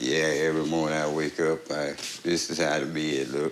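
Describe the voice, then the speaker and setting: A man talks at a moderate pace in a very deep, low pitch. There is noticeable background noise. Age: 60s. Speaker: patient. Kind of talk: testimony.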